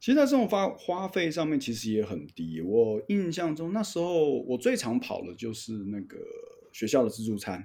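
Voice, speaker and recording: A man with a Taiwanese accent and a dark, mellow tone speaks at a moderate pace, his fairly high pitch making very wide swings. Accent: Taiwanese Mandarin. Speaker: flight instructor. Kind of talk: casual chat.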